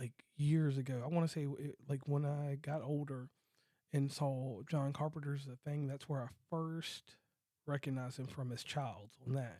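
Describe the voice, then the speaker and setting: At a fairly slow pace, a man with a fairly high voice and a dark, mellow tone talks with ordinary pitch variation. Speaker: podcast host. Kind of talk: casual podcast talk.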